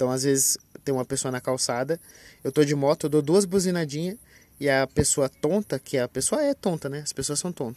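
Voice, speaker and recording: A man with a fairly high pitch and ordinary pitch variation, recorded very cleanly with a silent background and a dry, close sound with no echo. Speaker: podcaster. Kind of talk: casual monologue. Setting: outdoors by a busy avenue. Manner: loud; halting.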